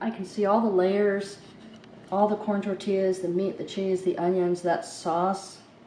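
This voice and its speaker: A woman speaks at a moderate pace with a medium pitch and monotone, flat intonation over noticeable background noise. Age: 60s. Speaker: home cooking vlogger. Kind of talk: casual cooking vlog with taste test.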